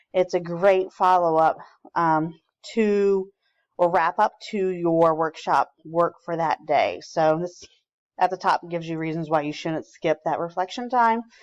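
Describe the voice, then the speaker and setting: Using an ordinary speaking voice, a woman talks at a fairly slow pace in a fairly low pitch with fairly even intonation, in a dry, close sound with no echo. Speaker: teacher trainer. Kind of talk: recorded training presentation.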